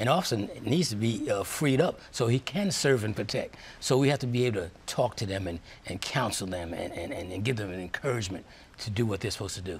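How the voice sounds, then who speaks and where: A somewhat breathy man with an American accent, medium pitch, lively intonation and a very fast pace. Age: 70s. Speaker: police chaplain. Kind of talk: interview.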